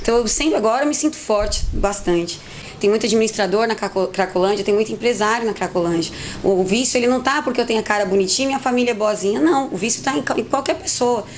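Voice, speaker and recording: A woman at a fairly high pitch, very fast and lively in intonation, with very even loudness over noticeable background noise. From Brazil, São Paulo city. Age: 30s. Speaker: recovered addict, volunteer. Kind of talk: testimony.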